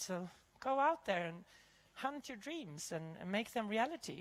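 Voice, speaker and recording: With a Swedish accent, a woman speaks at a fairly slow pace. Her pitch swings very widely. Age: 50s. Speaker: chef and keynote speaker. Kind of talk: keynote talk; panel Q&A answer. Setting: stage with audience.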